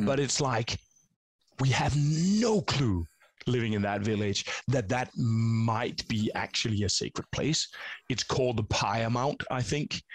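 Here a man speaks at a fairly slow pace and medium pitch, with ordinary pitch variation. His voice is somewhat breathy, its loudness very even. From Denmark. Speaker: YouTube channel host. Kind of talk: interview. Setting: video call. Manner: halting.

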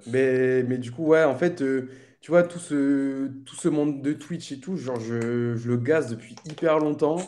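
A man's dark, mellow voice, fairly high in pitch with ordinary variation, very slow, with big swings in loudness. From Réunion. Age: 20s. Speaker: streamer. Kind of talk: casual chat.

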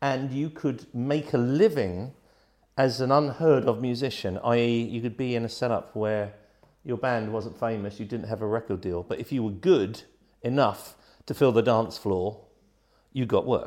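Against a quiet background, a man talks with a southern English accent. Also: medium pitch for a man, ordinary pitch variation, moderate pace. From England, Gosport, Hampshire. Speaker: rock keyboard player. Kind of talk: casual chat.

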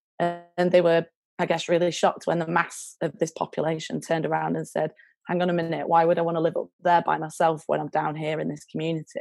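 A woman with a Lancashire accent speaks at a very fast pace. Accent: Lancashire northern English. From northern England. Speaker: charity worker. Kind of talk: casual interview chat. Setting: video call.

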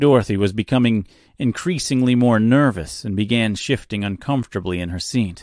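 Pitch moves in an ordinary way. The delivery is an unforced reading voice.

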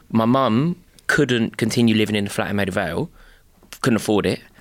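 A man speaks with a London accent at a moderate pace. The recording is very clean, with a silent background. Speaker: podcast co-host. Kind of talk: casual chat.

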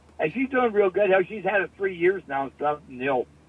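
Noticeable background noise sits behind the speaker. He is a man talking at a very fast pace. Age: 70s. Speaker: older friend of the host. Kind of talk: casual chat.

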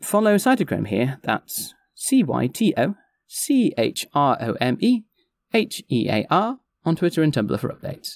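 With a northwestern English accent, a man speaks at a fairly slow pace in a fairly high pitch that makes big swings.

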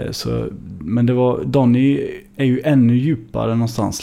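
Noticeable background noise sits behind a man. He talks at a medium pitch and a moderate pace. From Sweden, Gothenburg (Hammarkullen). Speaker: singer-songwriter. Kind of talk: casual interview.

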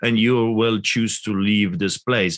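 With a Polish accent, a man speaks at a moderate pace and a medium pitch. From Poland. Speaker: pastor. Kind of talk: interview. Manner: animated.

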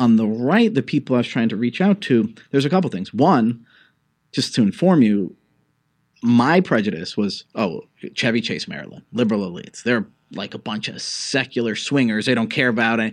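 Against a quiet background, a man with a normal speaking voice talks at a moderate pace and medium pitch with lively intonation. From New York City (Greenwich Village). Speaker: think tank fellow and political columnist. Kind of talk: interview conversation.

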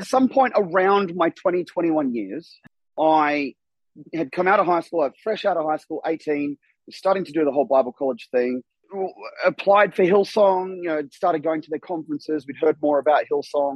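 A man talks with ordinary pitch variation at a moderate pace. His pitch sits fairly high. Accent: Australian. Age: 40s. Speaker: former church member. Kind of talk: casual chat. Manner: animated.

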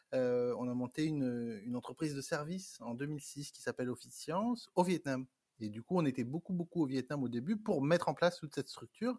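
A man's fairly high, dark, mellow voice at a fairly quick pace, with lively intonation and big swings in loudness. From France. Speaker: entrepreneur. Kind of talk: interview. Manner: halting.

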